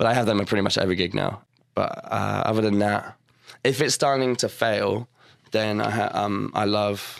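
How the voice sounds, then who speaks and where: A man with a fairly low voice talks at a moderate speed. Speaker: singer and guitarist. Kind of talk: casual interview chat. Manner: halting, many fillers.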